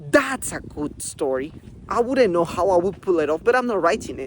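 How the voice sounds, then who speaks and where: Speaking at a moderate pace, a man uses lively intonation in a high voice. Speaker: book reviewer. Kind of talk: casual video review. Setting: outdoors, walking in a forest. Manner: animated, casual with many fillers.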